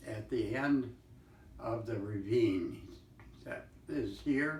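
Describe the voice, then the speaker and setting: Noticeable background noise behind a man's very slow delivery. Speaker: Great Depression survivor. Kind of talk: interview answer. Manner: slow, hesitant.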